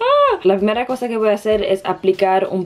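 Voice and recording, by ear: A woman's slightly mellow voice at a fairly quick pace.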